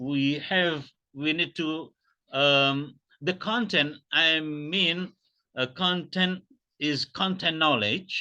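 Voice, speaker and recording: With an Indonesian accent, a man talks in a fairly high pitch and a bright, sharp tone, his intonation lively over a quiet background. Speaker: academic keynote speaker. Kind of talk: pre-recorded keynote lecture. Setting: pre-recorded presentation video. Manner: halting, many fillers.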